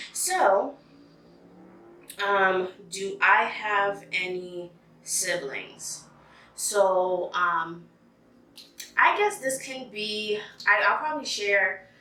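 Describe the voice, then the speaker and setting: Against noticeable background noise, a woman talks at a very slow pace in a medium pitch, with ordinary pitch variation and long, frequent pauses. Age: 30s. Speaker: freelance makeup artist. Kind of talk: casual podcast-style talk to camera.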